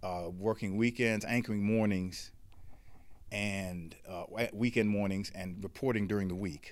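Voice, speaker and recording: In a fairly slow pace and with fairly even intonation, the speaker uses an ordinary speaking voice with an American accent. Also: man, fairly low pitch for a man. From Washington DC. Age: 60s. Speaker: journalist. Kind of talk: interview conversation. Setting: studio.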